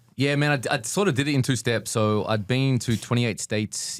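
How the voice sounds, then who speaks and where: Very fast talking with an Australian accent on a very clean recording with a silent background. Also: man. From Australia, Sydney. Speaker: business owner. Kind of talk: podcast interview.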